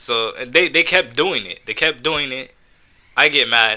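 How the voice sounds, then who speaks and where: A man talks at a moderate pace in a bright, sharp tone. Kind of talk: casual storytelling to camera. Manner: stuttering, halting; casual, slangy.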